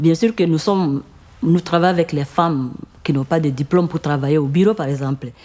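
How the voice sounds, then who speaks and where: Her voice is very deep and low, a woman's with a dark, mellow tone. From Congo (Ituri region). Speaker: microcredit association founder. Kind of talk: interview answer.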